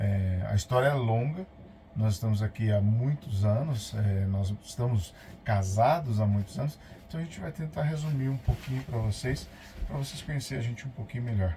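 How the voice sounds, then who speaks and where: Over noticeable background noise, a man at medium pitch talks at a moderate pace with lively intonation. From São Paulo city, Brazil. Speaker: vlogger, motorhome traveler. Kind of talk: casual chat.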